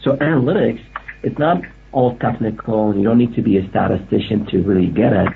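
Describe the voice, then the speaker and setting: A man with a fairly low voice talks at a fairly quick pace and very even loudness, with noticeable background noise behind him. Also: ordinary pitch variation. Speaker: analytics expert.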